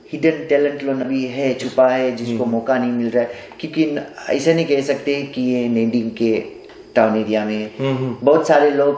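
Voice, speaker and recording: Noticeable background noise behind a man, medium in pitch. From Nadi, Fiji. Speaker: stage singer. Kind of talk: interview answer.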